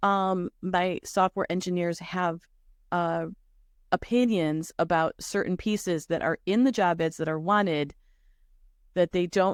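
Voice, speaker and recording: A woman's fairly low-pitched voice with ordinary pitch variation, in a very clean recording with a silent background and a dry, close sound with no echo. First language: Spanish. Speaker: career coach / recruiter. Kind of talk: consultation interview.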